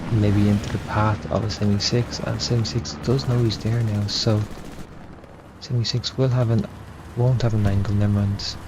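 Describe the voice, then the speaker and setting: The speaker is soft-spoken, with ordinary pitch variation and a moderate pace. Noticeable background noise sits behind the voice. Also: man, fairly low pitch for a man, very even loudness. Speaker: esports caster. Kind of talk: live commentary.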